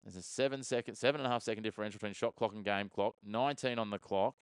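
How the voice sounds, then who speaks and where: A man with an Australian accent and fairly low pitch talks at a very fast pace with fairly even intonation, in a dry, close sound with no echo. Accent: Australian, mistaken by a viewer for British. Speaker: sports streamer and watchalong commentator. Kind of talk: live commentary with chat replies. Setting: live stream. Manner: fast play-by-play.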